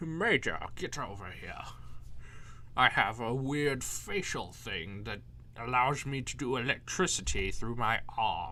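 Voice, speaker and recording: Putting on a character voice at medium pitch, a man talks at a fairly slow pace with clear background noise. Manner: intense, dramatic.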